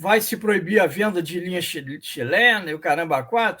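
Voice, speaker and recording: A man is speaking here. His pace is fairly slow. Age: 60s. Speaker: radio debate panelist. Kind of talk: radio panel debate.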